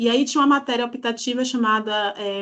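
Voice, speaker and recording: Ordinary pitch variation marks speech taken at a moderate speed. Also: woman. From Brazil, Salvador, Bahia. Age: 40s. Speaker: historian and poet. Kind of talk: podcast interview.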